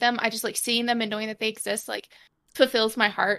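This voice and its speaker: A woman's fairly high voice with a bright, sharp tone and fairly even intonation, in a very clean recording with a silent background. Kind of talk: casual chat.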